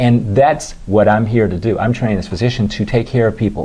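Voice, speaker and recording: A man with an American accent, very fast and somewhat breathy, with a fairly low pitch and a dark, mellow tone. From Washington D.C. area. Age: 60s. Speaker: dermatologist. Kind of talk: interview.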